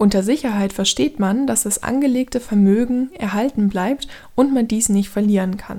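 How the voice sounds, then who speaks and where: This woman's voice sits at a fairly high pitch and is somewhat breathy. The tone is dark and mellow. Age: 30s. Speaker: podcast host. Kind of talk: scripted narration.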